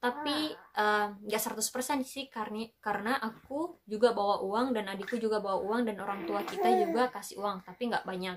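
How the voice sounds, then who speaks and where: The pace is moderate, with hardly any pauses. Pitch varies in an ordinary way. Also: woman, fairly high pitch for a woman. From Makassar, Indonesia; Indonesia. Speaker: vlogger. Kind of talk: casual storytelling vlog. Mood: lively, expressive. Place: home room. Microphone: camera far.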